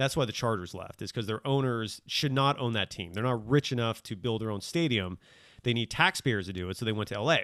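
A man with an American accent and a plain, everyday voice speaks at medium pitch and a fairly quick pace with ordinary pitch variation, in a very clean recording with a silent background and a dry, close sound with no echo. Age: 40s. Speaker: sports podcaster and professor. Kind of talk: casual chat.

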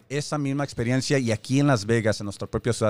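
A man talks at a very fast pace with a medium pitch and ordinary pitch variation. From born in Mexico, raised in the US. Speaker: radio host, community leader. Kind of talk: radio talk show interview. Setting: radio studio, streamed on Facebook Live.

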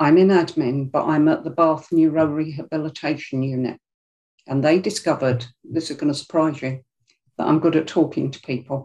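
A woman with a very deep, low pitch and a dark, mellow tone speaks with fairly even intonation. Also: moderate pace. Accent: South London. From South London, Greenwich. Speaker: public speaking club member. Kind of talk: interview conversation. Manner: emotional, expressive.

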